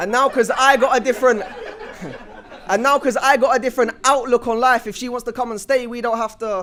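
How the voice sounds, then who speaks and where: A man speaks at a fairly quick pace with an extremely high pitch and fairly even intonation over noticeable background noise. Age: 20s. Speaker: spoken word poet. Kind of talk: spoken word performance. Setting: stage with audience.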